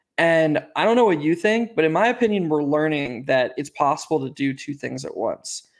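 The recording is very clean, with a silent background. A man with an ordinary speaking voice talks at a fairly high pitch and moderate pace. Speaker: podcast host. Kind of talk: casual sports podcast chat.

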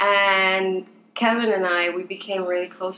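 The speaker has a Spanish accent. Noticeable background noise runs behind the voice. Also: woman. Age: 20s. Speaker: podcast co-host, interior designer, mother. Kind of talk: casual chat.

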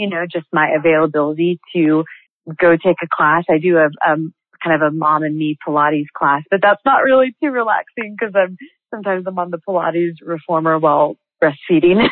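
The pitch shows ordinary variation. It is an unremarkable speaking voice, delivered at a fairly quick pace. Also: woman, fairly low pitch for a woman. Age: 30s. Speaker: multi-level marketing entrepreneur. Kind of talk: interview.

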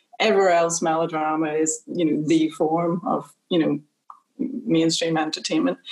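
A woman with an unremarkable speaking voice talks at a moderate pace in a fairly low pitch, with ordinary pitch variation and very even loudness. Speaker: executive producer. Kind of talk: panel discussion. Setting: video call.

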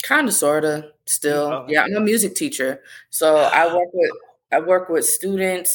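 The intonation is lively. It is a normal speaking voice. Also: woman, fairly low pitch for a woman, moderate pace. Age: 30s. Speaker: singer-songwriter and music teacher. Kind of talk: interview.

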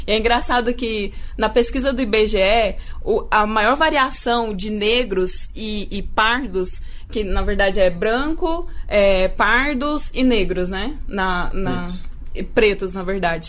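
Audible room echo surrounds the voice. The pace is very slow, with ordinary pitch variation. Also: woman, fairly high pitch for a woman. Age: 20s. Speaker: radio journalist and producer. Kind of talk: radio podcast interview.

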